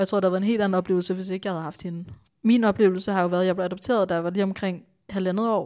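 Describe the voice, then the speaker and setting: A woman speaks very fast at a medium pitch in a dark, mellow tone, her intonation monotone and flat while her loudness swings widely, on a very clean recording with a silent background. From Denmark, Bornholm. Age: 20s. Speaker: entrepreneur. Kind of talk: podcast interview.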